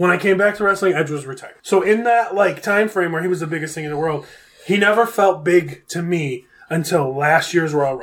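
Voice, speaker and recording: Loud and high-pitched, a man with an American accent talks at a moderate pace with ordinary pitch variation. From Buffalo, New York. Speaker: guest. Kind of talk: casual chat.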